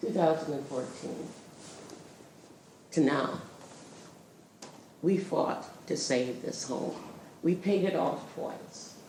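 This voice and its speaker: Very slow and broken by long, frequent pauses, a woman's very deep, low voice carries audible room echo over noticeable background noise. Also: ordinary pitch variation. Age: 80s+. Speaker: community member. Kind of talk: public comment.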